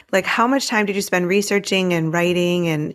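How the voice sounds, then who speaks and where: Her speech moves at a fairly quick pace with fairly even intonation. The woman has a fairly low pitch and a plain, everyday voice. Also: very clean recording, silent background. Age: 50s. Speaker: podcast host and writing coach. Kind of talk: interview.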